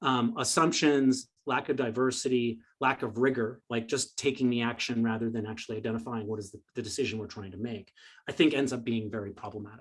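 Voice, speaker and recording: A man speaks at a fairly quick pace with a medium pitch. His intonation is fairly even, yet his loudness swings widely. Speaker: presenter. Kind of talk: lecture. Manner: fast.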